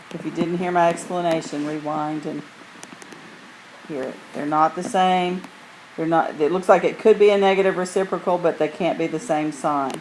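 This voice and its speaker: Amid noticeable background noise, the speech goes at a moderate pace with long, frequent pauses. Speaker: math teacher. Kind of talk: recorded lesson. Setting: screencast recording.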